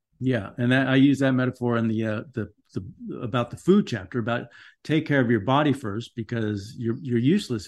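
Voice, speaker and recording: In an American accent, a man with a normal speaking voice talks at a fairly quick pace and medium pitch, with ordinary pitch variation, against a quiet background. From US West Coast, Los Angeles (Van Nuys). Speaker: writer and meditation practitioner. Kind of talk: interview conversation.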